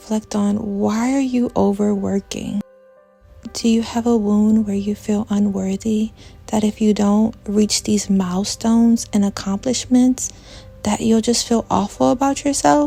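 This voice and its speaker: With music playing in the background, a woman speaks fairly slowly in a fairly high voice with fairly even intonation. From New Orleans, Louisiana. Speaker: social worker and art vlogger. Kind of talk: self-help vlog talk.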